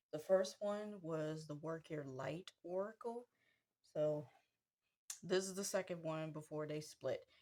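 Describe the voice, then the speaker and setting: Soft-spoken and fairly low in pitch, a woman talks at a fairly slow pace with ordinary pitch variation. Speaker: tarot deck reviewer. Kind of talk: casual product review. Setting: at home.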